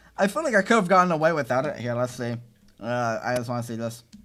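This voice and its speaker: A man at a medium pitch, with music in the background. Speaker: gaming YouTuber and video editor. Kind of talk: live stream commentary on own video. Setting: live stream. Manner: halting, many fillers and restarts.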